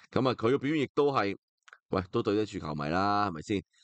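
A normal speaking voice at a fairly quick pace, with lively intonation, a dry, close sound free of echo, and a quiet background. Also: man. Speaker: football podcast host. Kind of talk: solo football talk show. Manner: casual, filler-heavy.

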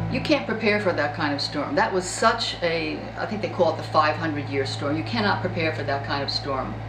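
A woman talks with hardly any pauses. Noticeable background noise runs behind her. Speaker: storm witness. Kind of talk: interview answer. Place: home room.

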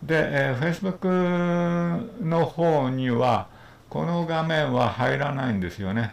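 Speaking at a fairly slow pace with lively intonation, a man is heard with audible room echo. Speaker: video instructor. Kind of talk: casual livestream tutorial talk. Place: home room.

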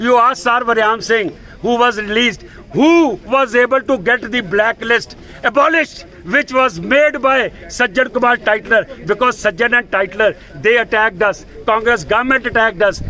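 In a raised, projected voice of extremely high pitch, a man speaks at a moderate pace with very even loudness over light background noise. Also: ordinary pitch variation. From India (Delhi). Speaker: Sikh community activist. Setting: outdoors at a protest outside an embassy. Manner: indignant and confrontational, piling up accusations and demands; halting with fillers and repetitions, then punchy defiant short sentences. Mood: angry, defiant. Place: street. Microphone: phone near.

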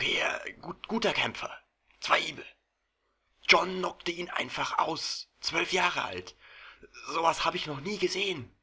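Using a raspy, put-on character voice with a high pitch, a man speaks at a moderate pace with fairly even intonation and long, frequent pauses. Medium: audio drama. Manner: warm, chatty, hesitant fillers.

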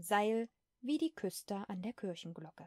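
A woman with a dark, mellow tone and medium pitch speaks at a moderate pace in a dry, close sound with no echo. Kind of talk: sleep story, bedtime story reading; audiobook-style reading of a classic children's tale. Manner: soft, calming, ASMR-style.

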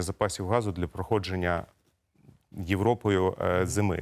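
A man's fairly slow delivery with fairly even intonation, on a very clean recording with a silent background. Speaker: gas company executive. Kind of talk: TV interview. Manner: formal.

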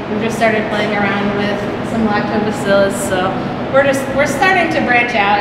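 A woman at a fairly quick pace amid loud background noise and audible room echo. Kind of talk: tour explanation, casual. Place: factory. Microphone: camera far.

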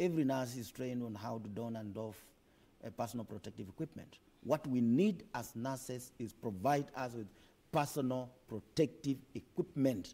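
A man speaks at a moderate pace and medium pitch in a dark, mellow tone, with ordinary pitch variation and big swings in loudness. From Kenya. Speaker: nurses' union leader; guest. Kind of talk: TV studio interview; interview answer. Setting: TV studio. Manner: forceful. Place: studio. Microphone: lapel.

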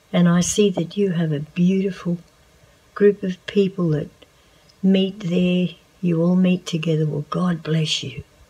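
A woman with an Australian accent speaks at a fairly slow pace in a fairly low pitch, her intonation fairly even against a quiet background. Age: 70s. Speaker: church volunteer. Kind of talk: testimony. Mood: warm, blessing tone. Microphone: phone near.

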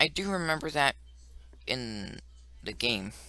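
The speech moves at a fairly slow pace, and the sound is dry with no echo. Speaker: gamer. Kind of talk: let's play commentary.

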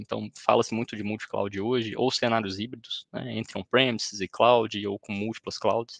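Speaking at a moderate pace with a Brazilian accent, a man uses a medium pitch and vocal fry, with a dry, close sound and no echo. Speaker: cloud solutions architect. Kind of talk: technical webinar presentation. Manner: hesitant, many fillers.

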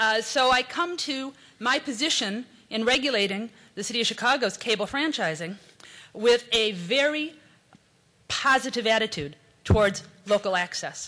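Against a quiet background, a woman speaks at a moderate pace with lively intonation and a bright, sharp tone. She leaves long, frequent pauses. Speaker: city official. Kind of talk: conference speech. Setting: stage with audience. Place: hall. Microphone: podium.

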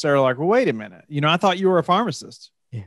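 A man speaks in a dry sound with no echo. The background is quiet. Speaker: podcast host. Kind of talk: interview conversation. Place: home room. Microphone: studio mic.

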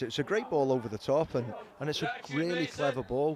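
Over noticeable background noise, a man talks at a fairly quick pace in an excited tone with a fairly high pitch. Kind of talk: live match commentary, co-commentator analysis. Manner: animated, conversational, hesitant with repeated words; partisan, excited about Liverpool.

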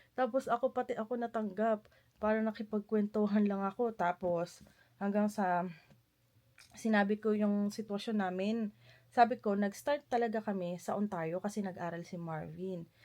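Recorded very cleanly against a silent background, a woman speaks at a medium pitch and moderate pace, with a dark, mellow tone and fairly even intonation. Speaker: vlogger. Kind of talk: casual vlog narration. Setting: at home. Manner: chatty, laughs often.

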